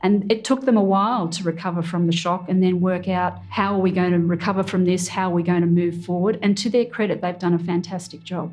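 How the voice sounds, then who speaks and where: A woman talks at a fairly quick pace with hardly any pauses, her somewhat breathy voice keeping a fairly even intonation. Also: medium pitch for a woman. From Australia. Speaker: military veteran. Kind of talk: interview answer.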